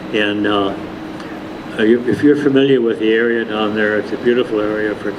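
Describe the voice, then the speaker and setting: A fairly low-pitched man with an Upper Midwest accent and fairly even intonation, amid audible room echo and noticeable background noise. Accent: Upper Midwest American. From Minnesota, Minneapolis. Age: 90s. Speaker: retired religious brother and inventor. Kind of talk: public talk. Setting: lecture hall with audience. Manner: halting, many fillers.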